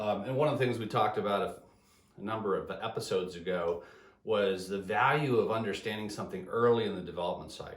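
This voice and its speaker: A man at a fairly low pitch with ordinary pitch variation and a fairly quick pace, amid audible room echo. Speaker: engineering business consultant. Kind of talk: solo video talk. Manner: fast; halting, repeated words.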